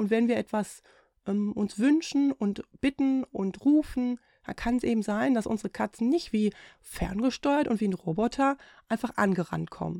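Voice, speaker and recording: A woman's fairly high voice with a dark, mellow tone, ordinary pitch variation and a moderate pace, in a very clean recording with a silent background and a dry, close sound with no echo. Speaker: podcast host, animal communicator. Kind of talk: solo podcast monologue. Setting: home, cat audible in background.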